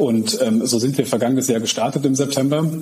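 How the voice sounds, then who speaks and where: Against noticeable background noise, a man at medium pitch talks at a very fast pace with ordinary pitch variation. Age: 30s. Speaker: managing director of an IT group. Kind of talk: interview.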